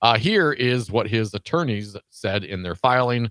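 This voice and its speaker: A man's medium-pitched voice, dry and close with no echo. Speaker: radio host. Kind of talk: live political talk radio. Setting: radio studio.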